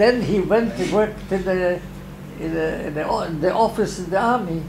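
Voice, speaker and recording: High-pitched male speech at a moderate pace, ordinary pitch variation, noticeable background noise. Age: 80s+. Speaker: painter. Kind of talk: interview answer. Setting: art studio. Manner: energetic.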